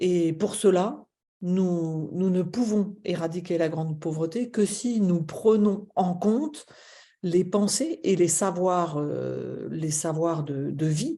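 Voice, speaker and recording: Speaking at a very slow pace, a woman uses a fairly low pitch with ordinary variation and a dark, mellow tone. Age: 60s. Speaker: charity president. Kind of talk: webinar presentation. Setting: online webinar. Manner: hesitant, many fillers.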